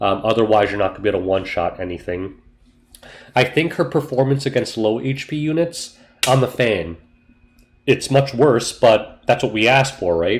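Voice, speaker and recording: A man's somewhat breathy, medium-pitched voice at a moderate pace, with lively intonation. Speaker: gaming youtuber. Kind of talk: casual gameplay commentary. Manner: casual, with fillers.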